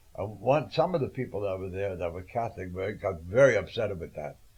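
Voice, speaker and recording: A somewhat breathy man with an American accent, fairly low in pitch, at a moderate pace with lively intonation. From New York (Brooklyn). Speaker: cellist and composer. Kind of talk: interview. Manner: halting.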